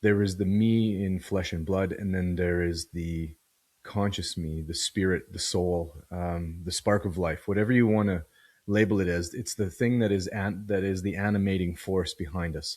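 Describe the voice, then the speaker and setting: A man talks at a moderate pace with very deep, low pitch and fairly even intonation. The recording is very clean, with a silent background. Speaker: podcast host. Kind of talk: solo philosophical monologue. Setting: video podcast recording. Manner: reflective, thoughtful; halting, searching for words.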